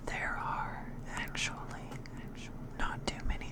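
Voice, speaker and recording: Very slow whispering comes through over noticeable background noise. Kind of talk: ASMR whispered horror story reading. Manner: whispered.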